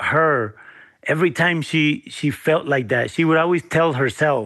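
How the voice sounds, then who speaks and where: With a Spanish accent, a man speaks fairly slowly at a fairly high pitch. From Guanajuato, Mexico, raised partly as US migrant farm worker. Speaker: chef and restaurateur. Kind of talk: interview.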